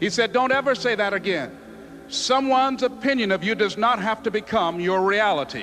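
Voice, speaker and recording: A man with an American accent and a high pitch speaks at a fairly quick pace, with ordinary pitch variation and very even loudness. Music plays in the background. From US South, Miami, Florida. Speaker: motivational speaker. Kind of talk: motivational speech.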